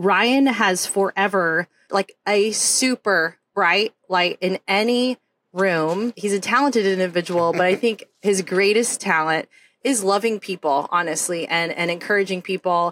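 This is a plain, everyday voice: a woman with an American accent, medium pitch and ordinary pitch variation, speaking at a fairly slow pace. Her loudness stays very even, and the sound is dry and close with no echo. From Oklahoma. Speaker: podcast host, psychologist and army veteran. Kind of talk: scripted intro.

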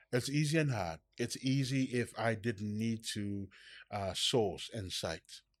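Here a man speaks at a very slow pace, his pitch medium with ordinary variation. The recording is very clean, with a silent background. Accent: Samoan. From Samoa. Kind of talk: casual chat. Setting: studio. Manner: animated.

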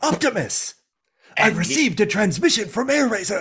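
The voice is fairly high. It is a put-on character voice. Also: moderate pace. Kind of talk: formal, military-like. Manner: rapid, clipped.

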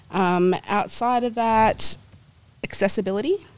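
A woman talks at a moderate pace. She has an Australian accent. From New Zealand, raised in Perth, Australia from age four. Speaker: catering coordinator and home baker. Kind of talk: casual interview.

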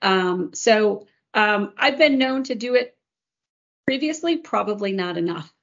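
A woman's unremarkable speaking voice in an American accent, fairly high in pitch with lively intonation, at a fairly slow pace. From US Midwest, Chicago area. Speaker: corporate executive. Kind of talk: casual chat.

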